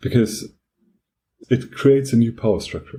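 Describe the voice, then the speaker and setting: A man's medium-pitched, somewhat breathy voice with a dark, mellow tone and a strong German accent. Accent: heavy German. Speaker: podcast co-host. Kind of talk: casual discussion.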